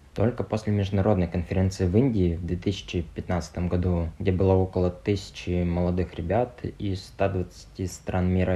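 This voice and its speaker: A man's very deep, low-pitched voice, dark and mellow in tone and somewhat breathy, at a moderate pace with fairly even intonation and hardly any pauses. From Russia, Tuva (Kyzyl). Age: 20s. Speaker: podcast host, entrepreneur. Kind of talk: personal monologue podcast.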